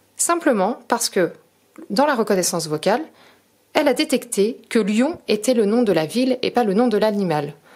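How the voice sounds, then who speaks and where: Pausing long and often, a woman with a fairly high pitch speaks at a moderate pace, her pitch swinging very widely while her loudness stays very even. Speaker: product demonstrator. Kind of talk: tutorial.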